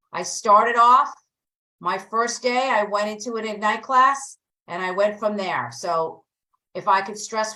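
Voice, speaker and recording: Bright and sharp in tone, a woman with a New Jersey accent speaks at a fairly slow pace with fairly even intonation. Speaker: real estate agent and coach. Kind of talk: online training class.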